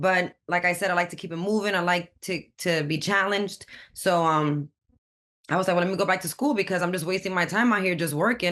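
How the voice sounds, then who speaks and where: Against a quiet background, a woman with a New York accent and fairly low pitch talks at a fairly quick pace in an animated tone with ordinary pitch variation. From Brooklyn, New York. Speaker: community college student. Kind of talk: podcast interview.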